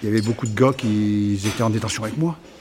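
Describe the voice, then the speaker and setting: A man with a medium-pitched voice talks, and noticeable background noise can be heard. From northern France, Somme. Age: 50s. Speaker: former farmer, ex-prisoner, farm supervisor. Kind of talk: testimony. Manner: halting, repeats words.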